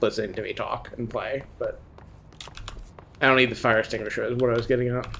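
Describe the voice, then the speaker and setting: Mumbled speech comes through over noticeable background noise. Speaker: video game streamer. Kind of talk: live gameplay stream chat. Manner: mumbling.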